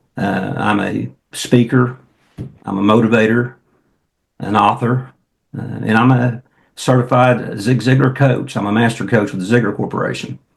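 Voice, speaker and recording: A man with a rural Oklahoma accent talks at a moderate pace, with vocal fry in his voice. His intonation is fairly even, and he leaves long, frequent pauses. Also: medium pitch for a man. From Oklahoma, near Jones. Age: 60s. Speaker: entrepreneur, motivational speaker and coach. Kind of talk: podcast interview.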